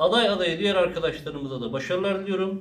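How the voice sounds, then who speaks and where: A man with ordinary pitch variation, audible room echo and light background noise. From Turkey, Kilimli (Zonguldak). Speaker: local politician announcing mayoral candidacy. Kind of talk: public statement to supporters. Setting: party district office. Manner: formal. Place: office. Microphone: camera far.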